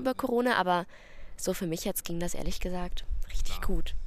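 A very fast pace with ordinary pitch variation. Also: woman. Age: 20s. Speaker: psychology student. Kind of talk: casual chat. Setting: outdoors.

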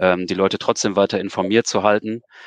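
Over a quiet background, a man with a fairly low pitch speaks in a monotone, flat intonation at a moderate pace, the sound dry and close with no echo. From Osnabrück area, northern Germany. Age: 40s. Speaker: event venue manager. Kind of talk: interview.

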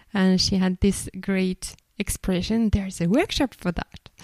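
The sound is dry and close with no echo, and the recording is very clean against a silent background. A woman talks at medium pitch with fairly even intonation. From France, Bordeaux. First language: French. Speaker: podcast host, facilitator. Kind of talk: casual chat.

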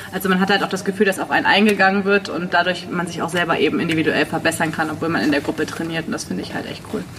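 A woman talks very fast with hardly any pauses, in a fairly low voice with fairly even intonation, against noticeable background noise. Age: 30s. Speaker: prosthesis wearer, sitting volleyball player. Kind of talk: casual chat.

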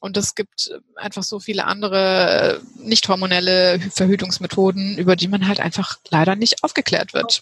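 Speaking in an ordinary speaking voice at a moderate pace and medium pitch, a woman keeps fairly even intonation with hardly any pauses, the sound dry and close with no echo. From Heidelberg, southwestern Germany. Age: 30s. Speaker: health coach, women's health expert. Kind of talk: interview.

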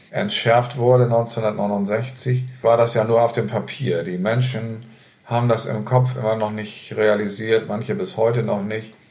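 A man talks at a very slow pace with fairly even intonation, with audible room echo and noticeable background noise in the recording. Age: 70s. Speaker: nursing home resident. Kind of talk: interview.

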